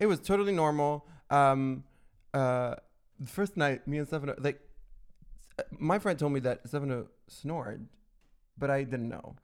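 This man has a fairly high voice and talks at a moderate pace with ordinary pitch variation and long, frequent pauses. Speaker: podcast host. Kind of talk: casual chat. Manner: animated.

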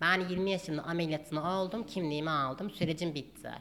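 A woman's plain, everyday voice, fairly low in pitch, at a moderate pace with ordinary pitch variation. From Turkey, Gaziantep. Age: 20s. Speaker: doctor. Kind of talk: casual chat.

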